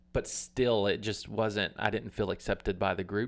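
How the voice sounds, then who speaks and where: A man with an American accent talks at a moderate pace in an ordinary speaking voice, fairly low in pitch with fairly even intonation, over a quiet background. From US South, Alabama. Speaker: worship leader and former youth pastor. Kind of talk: personal testimony.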